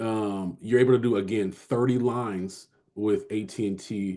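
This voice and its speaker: The tone is dark and mellow, with fairly even intonation in an American accent. The background is quiet. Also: man. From California. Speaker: sales recruiter, entrepreneur. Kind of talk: group job interview briefing. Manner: fast; halting, many repetitions and fillers.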